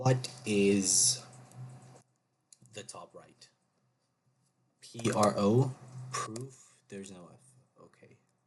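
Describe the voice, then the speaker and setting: This man's medium-pitched, somewhat breathy voice moves at a very slow pace, with long, frequent pauses. His intonation stays fairly even while his loudness swings widely. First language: not English. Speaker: gaming YouTuber. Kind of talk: casual gameplay commentary. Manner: thinking aloud, hesitant.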